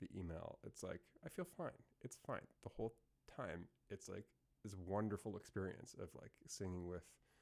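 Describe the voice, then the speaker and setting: The speaker talks at a moderate pace. The pitch moves up and down in an ordinary way. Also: man. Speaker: self-development podcaster. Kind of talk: solo reflective monologue. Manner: casual, hesitant with fillers.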